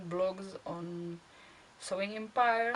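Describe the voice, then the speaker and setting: A woman's pitch varies in an ordinary way as noticeable background noise carries on. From Czech Republic. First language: Czech. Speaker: costuming hobbyist vlogger. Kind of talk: casual monologue answering questions. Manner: halting, with fillers.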